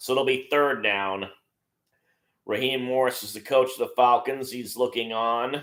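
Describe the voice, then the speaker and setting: A man's medium-pitched voice with a bright, sharp tone, at a moderate pace. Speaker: live-stream sports commentator. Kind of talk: live play-by-play commentary.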